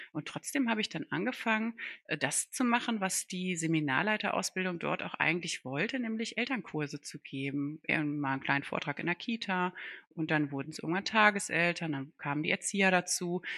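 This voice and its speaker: In a dry, close recording with a quiet background, a woman talks at a fairly quick pace with lively intonation and a bright, sharp tone. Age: 40s. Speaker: podcast co-host, speech therapist. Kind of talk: casual chat.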